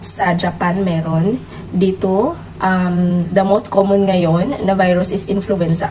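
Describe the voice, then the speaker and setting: A woman with a medium-pitched voice speaks over noticeable background noise. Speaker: vlogger. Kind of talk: casual vlog talk. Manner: halting, many fillers.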